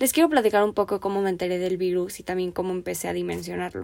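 In a very clean recording with a silent background, a woman with an unremarkable speaking voice talks at a fairly quick pace, medium in pitch and fairly even in intonation. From Mexico. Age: 20s. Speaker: podcast host and finance student. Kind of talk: solo podcast monologue.

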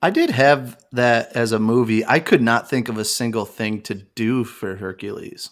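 A man talks in a plain, everyday voice at medium pitch with ordinary pitch variation. His pace is moderate with hardly any pauses, on a very clean recording with a silent background. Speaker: podcast host. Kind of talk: casual chat.

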